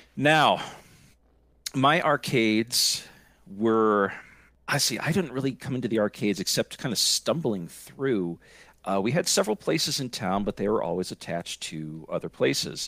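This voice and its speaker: On a very clean, dry, close recording with a silent background and no echo, a man with an American accent speaks with very wide pitch swings. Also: medium pitch for a man, moderate pace. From Scranton, Pennsylvania, US. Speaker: podcaster. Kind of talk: casual chat.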